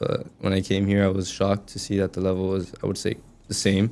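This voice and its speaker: In a Spanish accent, a man speaks very fast with a fairly low pitch, a dark, mellow tone and monotone, flat intonation. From US, raised American. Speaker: college soccer player. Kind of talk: podcast interview.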